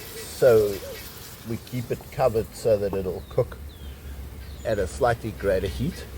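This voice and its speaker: Over noticeable background noise, a man talks at a fairly slow pace, leaving long, frequent pauses. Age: 70s. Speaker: outdoor vlogger. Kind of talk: casual vlog talk. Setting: outdoors.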